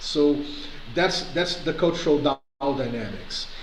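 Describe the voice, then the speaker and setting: A man talks at a moderate pace with audible room echo. Noticeable background noise runs underneath. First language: not English. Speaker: community organizer. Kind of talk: video call discussion. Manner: halting.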